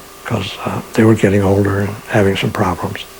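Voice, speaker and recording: Noticeable background noise fills the clip. The man talks with an American accent. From Pennsylvania, near Elmira NY. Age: 80s+. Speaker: artist and widower of a psychic author. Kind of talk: interview, personal memories. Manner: halting, frequent fillers.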